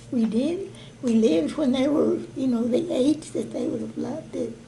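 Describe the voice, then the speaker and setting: A woman's voice over noticeable background noise. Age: 80s+. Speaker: grandmother. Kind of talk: interview answer, reminiscing.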